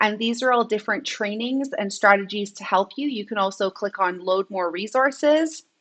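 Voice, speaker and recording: The voice has a bright, sharp tone and a moderate pace over a quiet background. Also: woman. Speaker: edtech trainer. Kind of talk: live online training. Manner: animated. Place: home room. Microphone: webcam.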